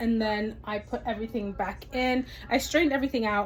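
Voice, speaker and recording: A woman's fairly high, somewhat breathy voice at a moderate pace, with fairly even intonation. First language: Amharic. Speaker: vlogger, mother. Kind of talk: casual cooking vlog. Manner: casual, hesitant with fillers.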